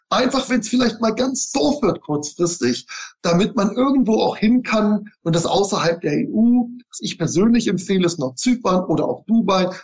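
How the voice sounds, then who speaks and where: Lively intonation marks speech that moves at a moderate pace. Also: man, high pitch for a man. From Bavaria, Germany. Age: 40s. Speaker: real estate investor and lecturer. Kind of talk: interview. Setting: video call.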